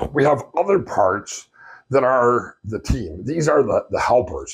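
With a quiet background, a man speaks at a moderate pace. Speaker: therapy trainer. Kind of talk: lecture. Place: home room. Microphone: lapel.

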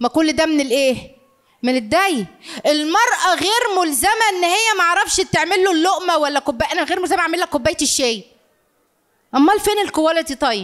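A woman with an Egyptian accent talks at a moderate pace and an extremely high pitch, her tone animated and her intonation lively. Her loudness stays very even against a quiet background. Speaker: family counselor and lecturer; lecturer. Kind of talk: live lecture to audience. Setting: lecture hall with audience. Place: hall. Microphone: handheld.

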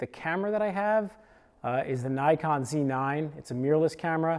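Over a quiet background, a man speaks with lively intonation. His tone is dark and mellow. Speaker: creator. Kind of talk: casual gear explainer. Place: home room. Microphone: lapel.

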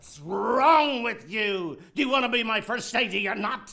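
A man puts on a character voice, pitched high with vocal fry. He goes at a fairly slow pace with a bright, sharp tone. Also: lively intonation.

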